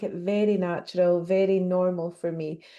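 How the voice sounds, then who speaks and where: A woman's medium-pitched voice with a slight Scottish accent, against a quiet background. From Scotland. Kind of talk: interview.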